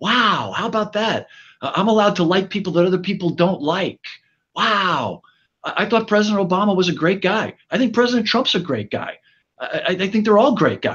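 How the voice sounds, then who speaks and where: The speaker talks at a fairly quick pace in an American accent, with ordinary pitch variation. The background is quiet. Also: man, high pitch for a man. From New York City (Bronx). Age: 60s. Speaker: fire chief. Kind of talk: panel discussion. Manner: stammering, many repeated words.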